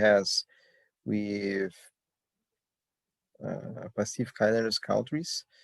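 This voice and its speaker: The speaker has a Portuguese accent. The sound is dry and close with no echo. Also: man. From Brazil. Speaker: immigration lawyer and sociologist presenting research. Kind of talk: academic conference presentation. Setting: video call.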